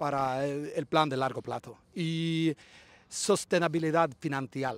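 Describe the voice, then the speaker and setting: A man with a Swedish accent, fairly high pitch, fairly even intonation, very slow pace and dry sound with no echo. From Sweden. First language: Swedish (speaking Spanish). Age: 40s. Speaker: football club shareholder, businessman; interviewee. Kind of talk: interview. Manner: halting, many fillers. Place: open country. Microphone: handheld.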